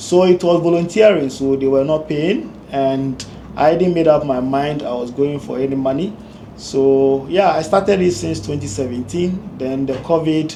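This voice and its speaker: Over noticeable background noise and audible room echo, a man with a fairly high pitch talks at a moderate pace with ordinary pitch variation. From Ghana. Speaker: engineer and community leader. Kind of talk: interview. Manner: hesitant, with fillers.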